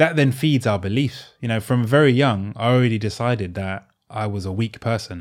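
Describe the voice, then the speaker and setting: A man speaks at a fairly quick pace in a medium pitch. His pitch varies in an ordinary way. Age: 30s. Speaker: author, artist and coach. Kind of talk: casual chat. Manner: halting.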